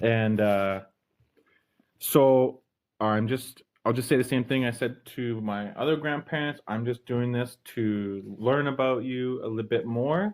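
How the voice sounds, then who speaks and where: A man's normal speaking voice at medium pitch, fairly slow in pace, with ordinary pitch variation. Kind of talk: interviewer, casual.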